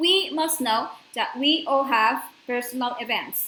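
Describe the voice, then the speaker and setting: Audible room echo surrounds a woman's raised, projected, high-pitched voice. She speaks at a very slow pace with ordinary pitch variation. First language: not English. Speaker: spiritual course lecturer. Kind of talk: lecture. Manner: halting, with fillers.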